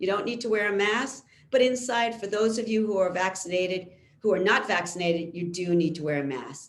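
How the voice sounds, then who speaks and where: A woman with a normal speaking voice, medium in pitch, with ordinary pitch variation and a fairly quick pace. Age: 60s. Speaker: physician. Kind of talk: lecture.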